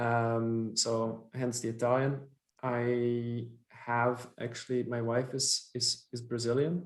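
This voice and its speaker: In a Dutch accent, a man at a medium pitch talks very slowly with monotone, flat intonation. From Belgium (Flanders). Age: 30s. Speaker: company founder and CEO. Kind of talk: podcast interview. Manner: hesitant, many fillers.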